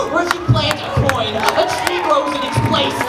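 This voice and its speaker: A woman with a passionate tone against crowd noise in the background. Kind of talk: spoken-word poem performed at a rally. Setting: outdoor rally with crowd. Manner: passionate, rhythmic delivery.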